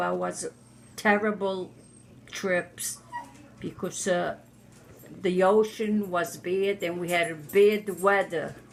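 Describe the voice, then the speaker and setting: A woman's medium-pitched, flat monotone at a very slow pace, with noticeable background noise. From Italy. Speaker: immigrant interviewee. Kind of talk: oral history interview. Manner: halting.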